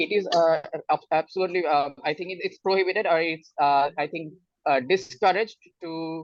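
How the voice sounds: Speaking at a moderate pace, a man keeps a fairly high pitch and fairly even intonation.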